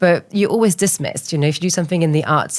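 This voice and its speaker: A French accent with fairly even intonation, in a very clean recording against a silent background. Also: woman. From France, small island off west coast. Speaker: art entrepreneur. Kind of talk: interview.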